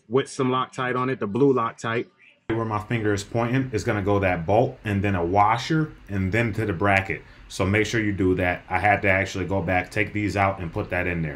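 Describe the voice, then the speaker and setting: A man talks at a fairly low pitch and a moderate pace. He has a normal speaking voice with ordinary pitch variation. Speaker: car enthusiast vlogger. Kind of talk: tutorial. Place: garage. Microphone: phone near.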